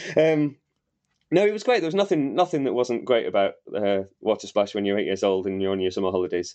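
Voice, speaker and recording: In a Yorkshire accent, a man talks at a very fast pace with very wide pitch swings. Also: medium pitch for a man. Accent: Wakefield Yorkshire, noticeable. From Wakefield, West Yorkshire, England. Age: 40s. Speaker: novelist. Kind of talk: casual chat.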